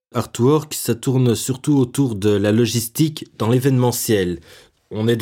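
With ordinary pitch variation, the man talks in a dark, mellow tone. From Belgium, Brussels. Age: 20s. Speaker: young jobseeker telling his life story. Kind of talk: personal testimony. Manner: hesitant, repeats words.

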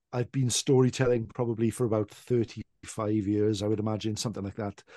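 Against a quiet background, a man with a South Welsh accent talks in a fairly low pitch with fairly even intonation and a dry, close sound with no echo. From South Wales. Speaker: traditional storyteller. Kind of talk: casual chat. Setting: video call.

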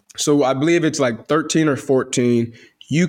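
An American accent marks this man's speech. His tone is animated, with ordinary pitch variation. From US Midwest, south side of Chicago. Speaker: podcast host. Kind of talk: casual solo monologue.

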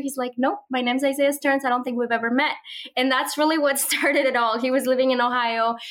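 A woman with a Spanish accent, high-pitched and very fast, warm and enthusiastic in tone, over noticeable background noise. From Mexico (Monterrey), moved to Minnesota at 12. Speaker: social media content creator and homeschooling mother. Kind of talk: interview.

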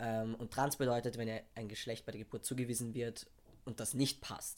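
A man's unremarkable speaking voice at medium pitch. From Austria, Vienna. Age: 20s. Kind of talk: casual chat.

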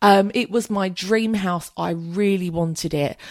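Recorded dry and close with no echo against a very clean, silent background, a woman speaks in a southern English accent. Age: 30s. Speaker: podcast host. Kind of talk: casual monologue answering listener questions.

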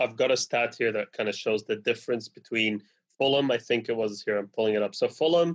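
This man has a plain, everyday voice and speaks with fairly even intonation. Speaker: football podcast panelist. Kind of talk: casual football chat.

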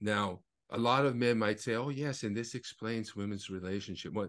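An unremarkable speaking voice from a man, fairly low in pitch, at a moderate pace with ordinary pitch variation against a quiet background. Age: 50s. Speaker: author, attorney and activist. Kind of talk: casual chat.

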